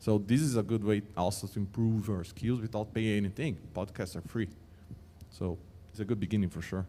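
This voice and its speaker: A man with a non-native accent speaks at a fairly low pitch in a dark, mellow tone with fairly even intonation. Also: fairly quick pace. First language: Portuguese. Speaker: mobile engineering leader, panelist. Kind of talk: panel discussion. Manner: halting.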